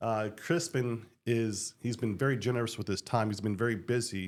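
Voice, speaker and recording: With an American accent, a man talks at a moderate pace and medium pitch with ordinary pitch variation, recorded very cleanly against a silent background. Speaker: podcast host, retired military diplomat. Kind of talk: interview podcast. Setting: studio with microphone.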